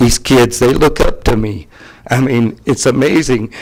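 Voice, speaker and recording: A man talks at a moderate pace with very wide pitch swings. Noticeable background noise can be heard. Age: 60s. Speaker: racetrack flagman. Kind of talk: public comment at county meeting. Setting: county commission meeting room. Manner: animated.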